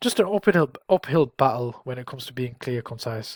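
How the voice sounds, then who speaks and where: With a northern English accent, a man talks at a fairly quick pace in a somewhat breathy, medium-pitched voice, the sound dry and close with no echo. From northern England. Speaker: careers advice YouTuber. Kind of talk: tutorial. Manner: casual, with fillers and restarts.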